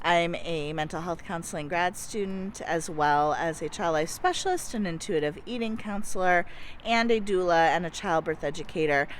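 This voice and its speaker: In an ordinary speaking voice, a woman talks at a moderate pace with a fairly low pitch, ordinary pitch variation and hardly any pauses. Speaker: vlogger and counseling grad student. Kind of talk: casual vlog chat.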